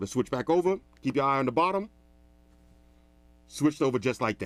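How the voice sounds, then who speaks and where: An energetic man's voice at medium pitch, very fast, with lively intonation. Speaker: tech reviewer. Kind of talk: product review tutorial. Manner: loud; casual, energetic.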